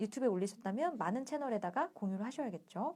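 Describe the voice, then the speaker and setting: A woman talks at a very fast pace, her pitch swinging very widely. Her tone is dark and mellow, and she sounds somewhat breathy. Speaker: book reading livestream host. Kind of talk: reading aloud with commentary.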